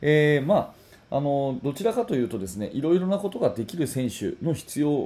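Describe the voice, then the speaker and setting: A man with a fairly high pitch and a dark, mellow, somewhat breathy tone speaks at a moderate pace. His pitch swings very widely, and the recording is very clean with a silent background. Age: 40s. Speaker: basketball coach and podcast host. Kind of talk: solo podcast talk. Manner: casual, filler-heavy.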